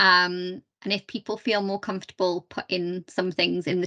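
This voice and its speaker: A woman speaks at a fairly slow pace in a dry, close sound with no echo. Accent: South Yorkshire. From South Yorkshire, Doncaster. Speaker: charity chief executive, guest speaker. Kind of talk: talk to online meeting. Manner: conversational, many fillers.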